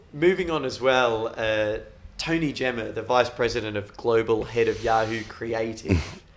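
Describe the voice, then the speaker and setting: A man talks at a moderate pace. His pitch is medium, with ordinary pitch variation. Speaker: podcast host. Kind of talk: casual podcast chat. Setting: apartment at festival.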